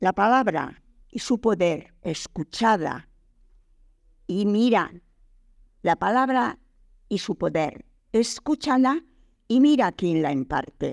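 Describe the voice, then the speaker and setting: With a solemn, stern tone, the voice moves at a very slow pace through long, frequent pauses in a very clean recording with a silent background. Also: woman, medium pitch for a woman. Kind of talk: poetry reading. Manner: solemn, declamatory, stern, rhythmic.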